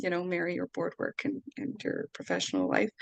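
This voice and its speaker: Marked by vocal fry, a woman's fairly low voice comes through with a Canadian accent in a dry, close sound with no echo. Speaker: workshop presenter, artist and marketer. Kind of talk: online workshop presentation. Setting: video call. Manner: halting, many fillers.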